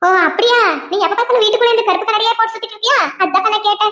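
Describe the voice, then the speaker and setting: Putting on a squeaky character voice, a woman talks at a very fast pace in an extremely high pitch with fairly even intonation. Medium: cartoon. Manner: sharp-tongued.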